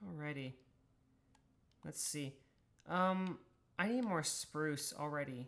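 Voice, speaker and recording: Someone with an American accent speaks at a very slow pace, leaving long, frequent pauses. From US South. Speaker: streamer. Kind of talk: casual chat. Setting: live stream.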